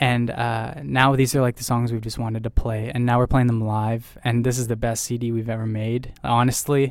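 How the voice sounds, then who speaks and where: A man with a Canadian accent talks at a moderate pace with hardly any pauses, his medium-pitched voice monotone and flat. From Ontario, Canada. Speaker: rock band singer. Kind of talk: casual interview.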